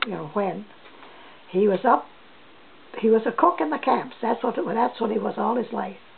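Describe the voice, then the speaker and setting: With a New Brunswick accent and lively intonation, a woman speaks at medium pitch over noticeable background noise. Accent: Atlantic Canadian (New Brunswick). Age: 80s+. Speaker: elderly interviewee sharing family history. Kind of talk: oral history interview. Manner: halting, with frequent restarts.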